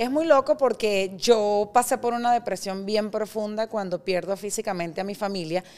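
A woman with a fairly high pitch, an ordinary speaking voice, moderate pace and ordinary pitch variation. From Venezuela. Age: 40s. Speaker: startup founder. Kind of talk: interview conversation.

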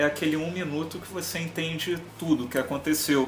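With noticeable background noise behind him, a man talks at a fairly quick pace with fairly even intonation. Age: 40s. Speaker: music YouTuber. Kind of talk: casual chat.

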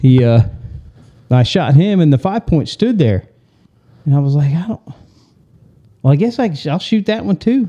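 A man speaks with a Southern US accent in a dark, mellow tone, his pitch fairly high and swinging very widely. He keeps a moderate pace with long, frequent pauses, and the sound is dry and close with no echo. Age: 50s. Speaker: podcast co-host. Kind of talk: casual chat.

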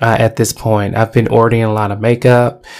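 Flat, monotone speech from a man at a medium pitch. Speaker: podcaster. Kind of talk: personal monologue. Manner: halting.

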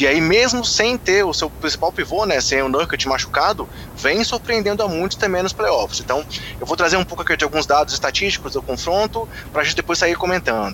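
Over noticeable background noise, a man with a high pitch for a man talks at a fairly quick pace with lively intonation. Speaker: podcast host. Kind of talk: podcast sports discussion.

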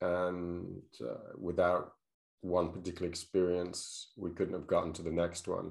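Over a quiet background, a man with a very deep, low pitch talks at a moderate pace. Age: 60s. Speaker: podcast host. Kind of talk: casual interview. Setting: video call. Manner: hesitant, many fillers.

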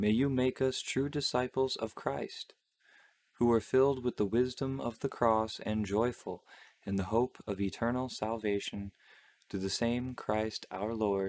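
In a solemn tone, a man speaks at a fairly slow pace with a medium pitch and ordinary pitch variation. The sound is dry and close, with no echo. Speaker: podcast host. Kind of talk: fervent prayer, reverent devotional reading of the Stations of the Cross. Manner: slow, solemn, reverent; casual, chatty, laughs.

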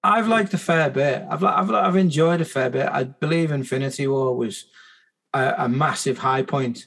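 Fairly high in pitch, a man uses an unremarkable speaking voice with lively intonation at a moderate pace. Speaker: podcast host. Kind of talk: casual chat.

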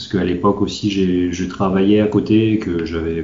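A man's very deep, low voice at a fairly quick pace, monotone and flat, with audible room echo and noticeable background noise. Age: 40s. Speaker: manga translator. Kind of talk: interview. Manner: halting.

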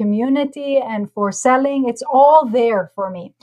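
Fairly slow speech from a woman with a high pitch and ordinary pitch variation. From Israel. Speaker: entrepreneur. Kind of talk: interview.

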